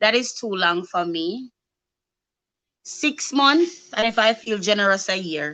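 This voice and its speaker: A woman with a bright, sharp tone speaks at a medium pitch that swings very widely. Her pace is fairly slow, with long, frequent pauses. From Jamaica. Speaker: YouTube live show host. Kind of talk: casual live-stream chat. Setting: YouTube live stream.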